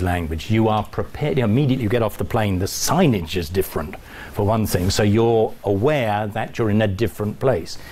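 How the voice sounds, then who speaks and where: A man with a British accent speaks at a fairly quick pace in a fairly low pitch, with ordinary pitch variation, very even loudness, hardly any pauses, noticeable background noise and audible room echo. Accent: English (British RP-like). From England. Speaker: college dean giving a talk. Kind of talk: lecture. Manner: hesitant, with fillers.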